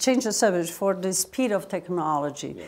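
A woman speaks with a Portuguese accent. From Brazil. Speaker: interviewer. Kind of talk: interview. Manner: halting. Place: studio. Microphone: lapel.

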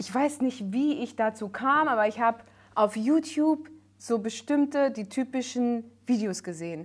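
Her voice is high-pitched, and this woman's pitch varies in an ordinary way. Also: moderate pace. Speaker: singer and comedian, guest. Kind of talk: casual talk show conversation. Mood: emotional, earnest storytelling. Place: studio.

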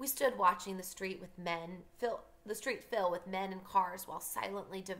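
Here the speaker uses a natural reading voice.

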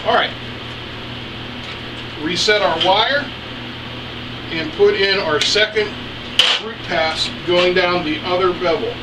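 A man speaks slowly with a high pitch and ordinary pitch variation, leaving long, frequent pauses. Background noise is clearly audible.

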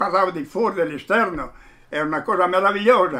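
Here a man speaks at a high pitch. His tone is bright and sharp. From Fiume (Rijeka), Croatia; Croatia. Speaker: witness interviewee; witness. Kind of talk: oral history interview. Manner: halting, repeats words. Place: home room.

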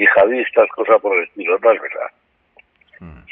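A man speaking at a moderate pace. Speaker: political science professor. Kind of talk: lecture-style conversation.

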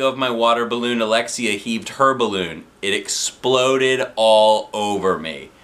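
Intonation here is fairly even. The voice is an unforced reading voice.

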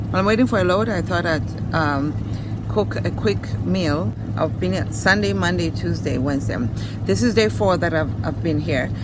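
Loud background noise surrounds a woman's voice as she talks at a moderate pace. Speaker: truck driver vlogger. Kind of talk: casual vlog chat. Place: car. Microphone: phone near.

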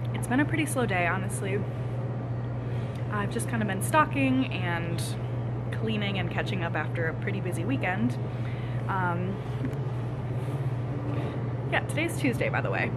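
A woman's voice with long, frequent pauses amid loud background noise. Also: moderate pace. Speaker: barista vlogger. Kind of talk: casual vlog chat. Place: cafe. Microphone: phone near.

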